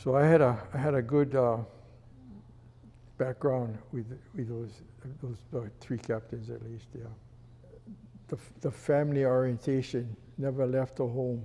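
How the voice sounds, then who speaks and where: A man with a Hawaiian accent and a dark, mellow tone, fairly slow and fairly even in intonation, with long, frequent pauses and big swings in loudness. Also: medium pitch for a man. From Hawaii, Honolulu. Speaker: retired fire chief. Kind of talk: interview storytelling. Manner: halting, with fillers.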